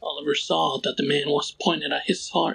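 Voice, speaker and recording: A man with a Spanish accent at a moderate pace. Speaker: storyteller / narrator. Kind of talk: horror story narration.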